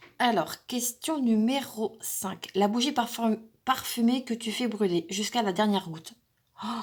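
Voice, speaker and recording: Somewhat breathy, a woman's voice sits at a fairly high pitch and moves at a fairly slow pace. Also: ordinary pitch variation. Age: 40s. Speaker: craft YouTuber. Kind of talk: casual tag video monologue. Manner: hesitant, many fillers.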